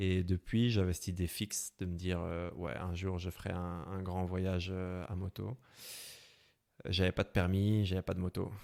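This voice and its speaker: A man with a very deep, low pitch and a slight Belgian accent speaks in a monotone, flat way, recorded dry and close with no echo. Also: fairly slow pace. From Belgium, Brussels. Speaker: motorcycle traveler. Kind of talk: interview. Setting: podcast. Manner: hesitant, many fillers.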